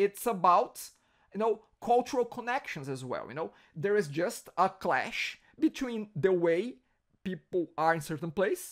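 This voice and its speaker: With a strong Brazilian accent, a man talks at a fairly quick pace in a high voice. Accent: heavy Brazilian Portuguese. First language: Portuguese. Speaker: podcast host. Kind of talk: interview.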